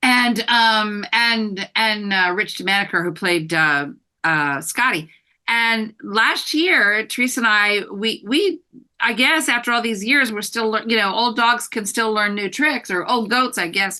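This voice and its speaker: This voice has a bright, sharp tone and an American accent. It moves at a fairly slow pace with lively intonation. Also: woman, fairly high pitch for a woman. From US Midwest, Michigan. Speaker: actress. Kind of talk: interview.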